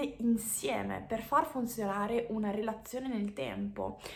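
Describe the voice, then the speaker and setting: Audible room echo surrounds a woman speaking at a fairly slow pace with a fairly high pitch. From Switzerland. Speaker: personal growth coach. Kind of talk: casual vlog monologue.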